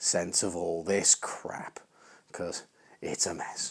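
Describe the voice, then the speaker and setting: A man with an English accent, speaking at a very slow pace. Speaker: welding hobbyist youtuber. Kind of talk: tutorial. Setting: home garage. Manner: casual, hesitant.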